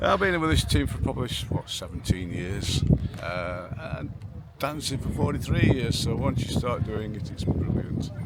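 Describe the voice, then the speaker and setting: Over noticeable background noise and audible room echo, a man speaks in a Derbyshire accent. His fairly low pitch makes very wide swings. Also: moderate pace. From Derbyshire, England. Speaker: morris dancing team leader. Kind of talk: casual interview.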